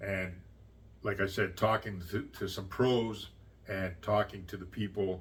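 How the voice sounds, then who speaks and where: A man's somewhat breathy, fairly low-pitched voice. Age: 60s. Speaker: YouTuber. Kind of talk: casual vlog talk. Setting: at home. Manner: halting.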